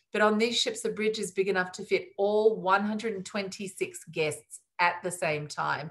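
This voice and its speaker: Against a quiet background, a woman with a medium-pitched voice speaks with an Australian accent. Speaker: cruise line sales executive. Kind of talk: webinar presentation. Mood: warm, enthusiastic sales tone. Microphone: video call.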